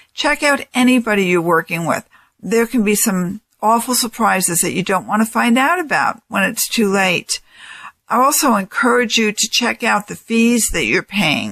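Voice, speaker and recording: Speaking at a moderate pace with an American accent, a woman has a fairly high pitch, a bright, sharp tone, lively intonation and vocal fry, on a very clean recording with a silent background and a dry, close sound with no echo. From New York. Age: 60s. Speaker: financial advisor and radio host. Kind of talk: radio talk show monologue.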